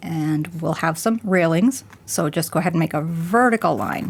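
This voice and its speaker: A woman's fairly low voice with lively intonation. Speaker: art instructor. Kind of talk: tutorial.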